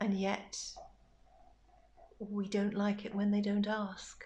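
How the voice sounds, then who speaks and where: A woman with a medium-pitched, somewhat breathy voice speaks at a fairly slow pace. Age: 60s. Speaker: bereaved mother sharing grief reflections. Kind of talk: personal reflective monologue.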